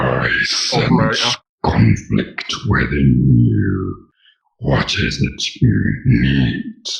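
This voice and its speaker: A man growls in a put-on character voice at a very deep, low pitch. He speaks at a very slow pace, with a slight echo. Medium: actual play. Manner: solemn, short-tempered.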